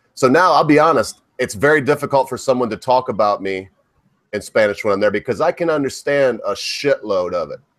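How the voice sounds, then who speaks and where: This man has an ordinary speaking voice with an American accent and a fairly high pitch. He talks at a fairly quick pace with lively intonation. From US (Michigan). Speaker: livestream co-host. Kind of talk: casual chat.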